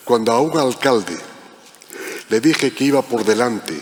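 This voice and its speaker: Noticeable background noise accompanies the man's speech. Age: 70s. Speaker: protocol professional, panel moderator. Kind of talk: panel discussion.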